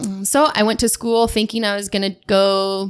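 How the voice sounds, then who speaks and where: A woman with an American accent, medium in pitch, monotone and flat in intonation, at a moderate pace. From eastern Washington, US. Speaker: chiropractor. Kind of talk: podcast interview.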